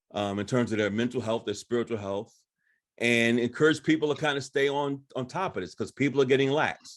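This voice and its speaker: A man with an unremarkable speaking voice speaks at a fairly quick pace and medium pitch. The background is quiet. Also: ordinary pitch variation. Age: 60s. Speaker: counselor. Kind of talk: panel discussion.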